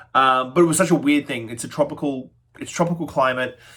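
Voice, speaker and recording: The speech runs at a very fast pace with fairly even intonation. The recording is very clean, with a silent background. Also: man. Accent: Australian. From Australia. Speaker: spirits reviewer, bartender. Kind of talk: product review tasting. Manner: casual, halting with fillers.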